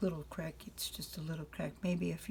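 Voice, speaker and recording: A woman's voice with vocal fry, at a moderate pace. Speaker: grandmother reading to grandchildren. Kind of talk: children's bedtime story reading.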